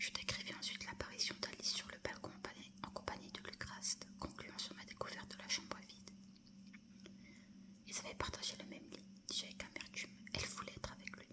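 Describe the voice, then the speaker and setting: Whispering at a fairly quick pace, with long, frequent pauses and noticeable background noise. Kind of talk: whispered audiobook-style reading of a novel (ASMR). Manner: whispered, soft.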